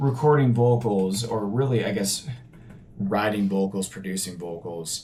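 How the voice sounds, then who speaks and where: With a dark, mellow tone and a fairly low pitch, a man speaks at a moderate pace using ordinary pitch variation. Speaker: independent musician vlogger. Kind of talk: casual vlog talk. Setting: home apartment studio. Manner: casual with fillers and false starts.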